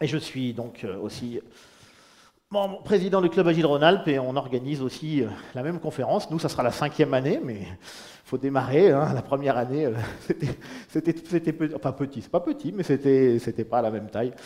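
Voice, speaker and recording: Talking at a fairly quick pace yet with long, frequent pauses, a man uses a fairly high pitch for a man and ordinary pitch variation. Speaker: independent agile consultant. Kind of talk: conference talk. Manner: loud.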